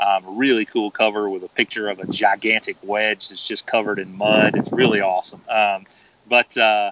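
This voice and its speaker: Here a man speaks with a Southern US accent at a moderate pace. His intonation is monotone and flat. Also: fairly low pitch for a man. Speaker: golf author. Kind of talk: podcast interview. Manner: halting, many fillers and repeats.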